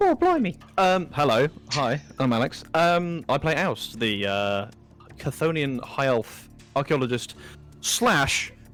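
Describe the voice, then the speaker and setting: With music playing in the background, a man speaks at a fairly slow pace. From England. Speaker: role-playing game player.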